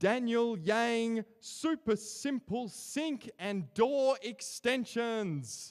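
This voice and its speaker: In a strong Australian accent, a man talks at an extremely high pitch and a very slow pace, with hardly any pauses and ordinary pitch variation. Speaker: awards ceremony emcee. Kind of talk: award announcements.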